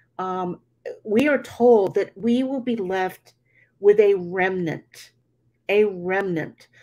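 Against a quiet background, the speaker goes at a very slow pace with long, frequent pauses and ordinary pitch variation. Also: woman, medium pitch for a woman. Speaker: online show host. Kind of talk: interview. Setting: video call. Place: home room. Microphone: video call.

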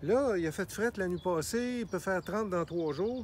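Recorded with a dry sound with no echo and light background noise, a man with a high pitch speaks with lively intonation. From Quebec. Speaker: gardener; gardener demonstrating grafting. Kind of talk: tutorial. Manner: casual, hesitant. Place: garden. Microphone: phone near.

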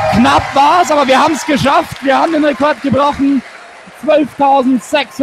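An extremely high-pitched man at a fairly slow pace, dry sound with no echo, noticeable background noise behind him. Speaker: fan radio commentator. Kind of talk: live sports commentary. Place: stadium.

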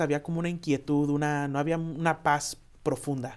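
A man's fairly high voice against a quiet background. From Chicago, Mexican-American family (Pilsen). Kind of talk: interview. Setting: studio. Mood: warm, smiling. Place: studio. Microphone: lapel.

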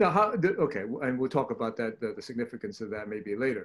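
A man at a moderate pace with very wide pitch swings, over a quiet background. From Hong Kong. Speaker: neurosurgeon, webinar host; webinar host. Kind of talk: case presentation webinar. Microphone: video call.

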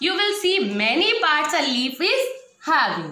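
A woman's raised, projected voice at an extremely high pitch, with an Indian accent, very wide pitch swings, a fairly slow pace and audible room echo. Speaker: school science teacher. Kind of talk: online class lesson for children. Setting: recorded at home for online class. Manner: slow and repetitive, teacherly. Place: classroom. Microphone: phone near.

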